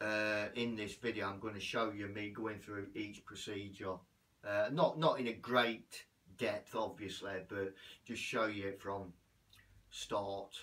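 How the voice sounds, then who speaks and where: An ordinary speaking voice from a man, fairly low-pitched, at a fairly slow pace with fairly even intonation. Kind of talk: casual vlog chat. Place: bathroom. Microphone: camera far.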